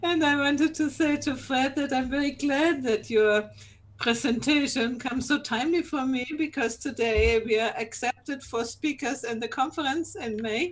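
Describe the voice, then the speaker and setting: Here a woman speaks in a high pitch with ordinary pitch variation. Her pace is moderate. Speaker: solopreneur, conference speaker. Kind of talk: casual group chat.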